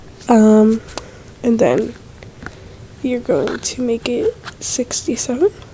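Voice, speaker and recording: Over noticeable background noise, a woman speaks fairly slowly in a high voice. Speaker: video editing tutorial creator. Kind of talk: tutorial voiceover. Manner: casual, filler-heavy.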